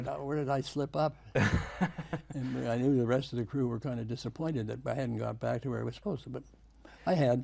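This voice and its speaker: A man's somewhat breathy voice carries a dark, mellow tone and ordinary pitch variation. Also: medium pitch for a man. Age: 80s+. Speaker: war veteran. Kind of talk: interview answer.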